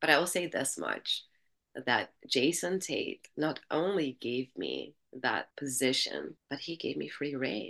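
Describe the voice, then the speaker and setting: A woman talks with an Albanian accent. Her pace is very slow. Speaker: music industry entrepreneur. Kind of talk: interview. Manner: animated.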